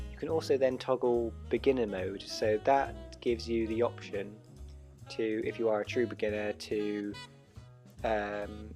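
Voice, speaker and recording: Music plays in the background. Over it, a man speaks with a fairly low pitch. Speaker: first-time drone owner. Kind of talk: tutorial voiceover.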